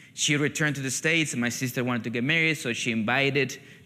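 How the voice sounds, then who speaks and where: A man with a Peruvian accent and a bright, sharp tone. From Peru, coastal. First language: Spanish. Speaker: pastor, missionary. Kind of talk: testimony. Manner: halting, with false starts.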